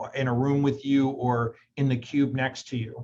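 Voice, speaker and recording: A man talks at a moderate pace in a medium pitch. His delivery is monotone, with flat intonation. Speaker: staff member, training participant. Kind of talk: group discussion. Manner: loud.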